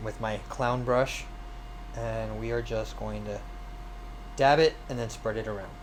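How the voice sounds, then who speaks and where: The recording has audible room echo around a man's voice. He talks at a fairly slow pace with long, frequent pauses. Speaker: streamer and miniature painter. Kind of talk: live-streamed painting tutorial. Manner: casual, hesitant with fillers; mumbling at times.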